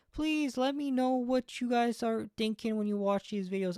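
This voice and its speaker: A man is speaking. His tone is dark and mellow. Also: dry, close sound with no echo. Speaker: gaming YouTuber. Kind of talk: unscripted video monologue. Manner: halting, many restarts and fillers; jumpy, nervous.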